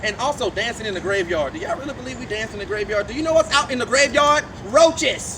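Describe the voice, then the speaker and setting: Crowd noise fills the background as the voice, in a New Orleans accent, delivers an animated, theatrical tone. Pitch swings very wide at a fairly quick pace. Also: man. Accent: New Orleans Southern US. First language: Louisiana Creole. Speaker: voodoo priest and tour guide. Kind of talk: guided tour talk.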